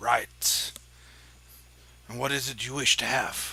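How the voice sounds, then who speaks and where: In a put-on character voice, a man talks at a medium pitch, raspy and fairly slow. Light background noise can be heard. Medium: actual play.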